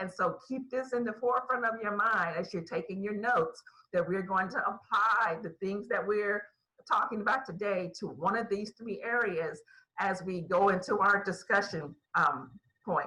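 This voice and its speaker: At a moderate pace, an unremarkable speaking voice with an American accent talks with ordinary pitch variation. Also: woman, medium pitch for a woman. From Ohio, US Midwest. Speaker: bible teacher. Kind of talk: online bible teaching.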